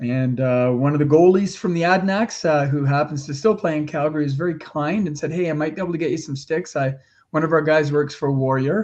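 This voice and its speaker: The speaker talks with hardly any pauses and ordinary pitch variation against a quiet background. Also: man, fairly high pitch for a man. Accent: Canadian. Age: 60s. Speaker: founder of an adapted sports charity. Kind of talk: interview. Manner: animated.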